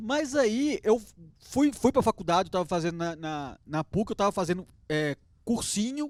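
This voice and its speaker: A man with a strong Minas Gerais accent, high pitch and very wide pitch swings, at a moderate pace, in a dry, close sound with no echo. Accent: strong mineiro (Minas Gerais). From Belo Horizonte, Minas Gerais, Brazil. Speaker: dentist. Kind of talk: interview chat. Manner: halting, many repetitions.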